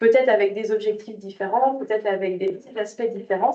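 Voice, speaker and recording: The woman's voice has a dark, mellow tone. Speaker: business development advisor presenting funding programs. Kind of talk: presentation. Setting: conference room with audience and online viewers.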